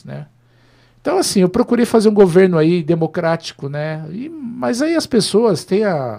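With a dark, mellow tone, a man speaks at a high pitch and a moderate pace, his pitch swinging very widely. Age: 50s. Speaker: former mayor and politician. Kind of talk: interview on a live web show.

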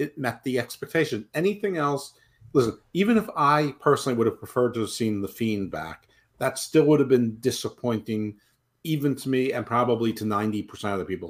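Man with an ordinary speaking voice, medium pitch, lively intonation and fairly quick pace. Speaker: podcast co-host. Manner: joking, sarcastic.

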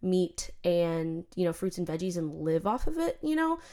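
A woman's voice, fairly low in pitch. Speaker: podcast host, mother. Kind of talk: casual monologue. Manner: frequent laughter.

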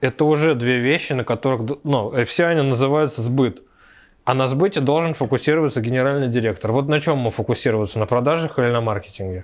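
Male voice of medium pitch at a very fast pace, with ordinary pitch variation and very even loudness over a quiet background. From Moscow, Russia. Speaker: tech entrepreneur. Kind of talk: casual interview.

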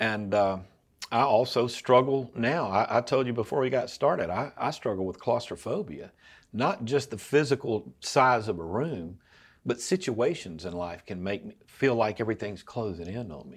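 A man speaks with lively intonation and big swings in loudness, in a normal speaking voice. The recording is very clean, with a silent background. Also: medium pitch for a man, moderate pace. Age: 60s. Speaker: lay preacher and filmmaker. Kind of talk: casual interview about faith.

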